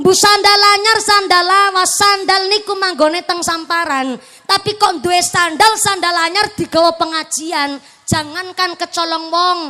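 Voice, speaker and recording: An animated woman with an extremely high pitch and ordinary pitch variation projects her raised voice at a fairly slow pace. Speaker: Islamic preacher. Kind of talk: religious sermon with humor. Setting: outdoor stage with PA system. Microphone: echo effect on PA removed.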